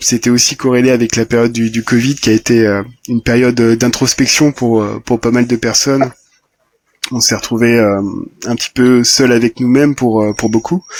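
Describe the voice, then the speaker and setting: A man's medium-pitched voice at a moderate pace, in a monotone, flat intonation. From southern Brittany, France. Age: 30s. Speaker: matchmaker. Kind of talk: interview. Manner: hesitant, many fillers.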